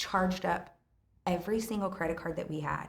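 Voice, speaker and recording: A woman at medium pitch with an animated tone, vocal fry, ordinary pitch variation and audible room echo. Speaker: restaurant owner. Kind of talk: casual chat. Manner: loud.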